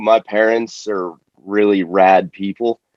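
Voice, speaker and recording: The pace of this man's speech is very slow. The sound is dry and close, with no echo. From Florida, US South. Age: 20s. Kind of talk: casual interview chat. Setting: call.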